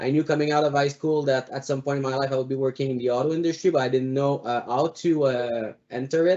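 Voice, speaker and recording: Fairly even intonation marks a man's medium-pitched voice. He speaks with a Quebec accent. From Quebec, Montreal. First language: French. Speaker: automotive analyst, alumni panelist. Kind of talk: panel presentation. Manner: halting, many fillers.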